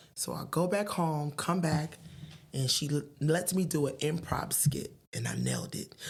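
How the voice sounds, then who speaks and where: With a New Jersey accent, a woman speaks at a very deep, low pitch, at a fairly slow pace and with fairly even intonation. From Paterson, New Jersey. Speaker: stand-up comedian. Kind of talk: podcast interview answer, storytelling. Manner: stutters.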